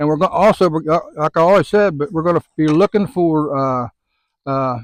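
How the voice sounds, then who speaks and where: A fairly high-pitched man with a Southern US accent speaks at a moderate pace with ordinary pitch variation, recorded in a dry, close sound with no echo. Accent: US South. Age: 70s. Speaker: fishing guide. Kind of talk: casual chat. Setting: outdoors. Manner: casual, repetitive fillers.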